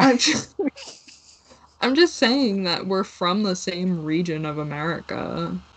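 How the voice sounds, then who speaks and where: Speaking at a fairly slow pace, a woman with a New York accent leaves long, frequent pauses. Noticeable background noise runs behind her. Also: medium pitch for a woman, lively intonation. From New York area, US. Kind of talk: casual chat.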